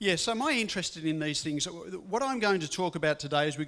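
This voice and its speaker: With a slight English accent, a man speaks in a bright, sharp tone at a fairly high pitch, using ordinary pitch variation. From England, Birmingham. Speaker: guest speaker. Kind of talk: interview.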